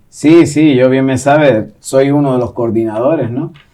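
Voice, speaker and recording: The tone is dark and mellow. The pace is moderate. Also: man. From Gran Canaria, Canary Islands. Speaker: poet and secondary school teacher. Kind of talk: interview answer.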